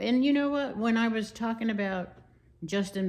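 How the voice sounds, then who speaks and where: Audible room echo surrounds a woman who talks at a moderate pace with lively intonation. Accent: American. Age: 80s+. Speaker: YouTuber. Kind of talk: casual chat. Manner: rambling, hesitant with fillers.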